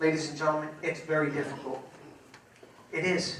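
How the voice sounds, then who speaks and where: Amid noticeable background noise and audible room echo, a man with a New York accent talks at a moderate pace and a fairly high pitch. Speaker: sheriff candidate, law enforcement veteran. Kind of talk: candidate forum speech.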